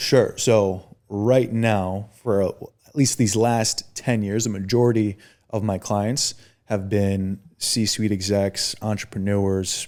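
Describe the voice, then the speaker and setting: A man's fairly low, flat monotone with an American accent at a very slow pace, in a very clean recording with a silent background. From Chicago suburbs, US Midwest. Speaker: personal trainer. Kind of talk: podcast interview. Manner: stutters at times.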